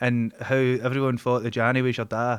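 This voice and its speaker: A man with a Glaswegian accent at a fairly quick pace, dry and close with no echo, on a very clean recording with a silent background. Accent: Glaswegian Scottish. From Scotland, Glasgow (Dennistoun). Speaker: podcast host. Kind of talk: casual chat.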